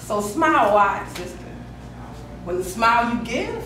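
Amid noticeable background noise and audible room echo, a woman speaks fairly slowly in an intense tone, with big swings in loudness and long, frequent pauses. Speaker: spoken word poet. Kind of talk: spoken word poetry performance, rhythmic rhyming verse. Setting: slam event, live poetry performance. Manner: emotive, intense, rhythmic and heartfelt; direct, intimate address to 'sister'. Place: hall. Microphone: camera far.

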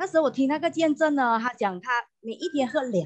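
A woman is speaking. The background is quiet. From Malaysia, Johor Bahru; Malaysia. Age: 50s. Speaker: customer giving product testimonial. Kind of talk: testimony. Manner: halting, many fillers and repetitions. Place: home room. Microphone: earbuds.

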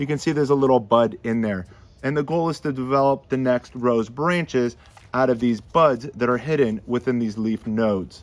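Moderate speed and ordinary pitch variation from a man. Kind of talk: tutorial. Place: garden.

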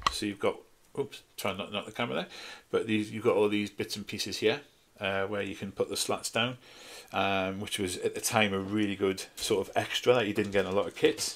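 A man with a Geordie accent, at a fairly quick pace. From northeast England, Newcastle. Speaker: scale model hobbyist YouTuber. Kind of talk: casual video review. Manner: hesitant, many fillers. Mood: nostalgic, relaxed. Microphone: phone near.

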